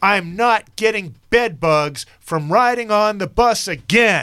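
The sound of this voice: A man speaks loudly and slowly in a put-on character voice, pitched high, with a clear, smooth, yet bright, sharp tone. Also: lively intonation.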